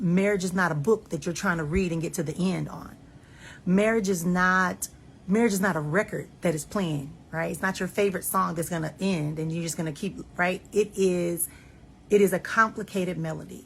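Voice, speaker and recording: A woman's fairly low, somewhat breathy voice keeps a fairly even intonation. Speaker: life and marriage coach. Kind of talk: casual monologue. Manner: fast.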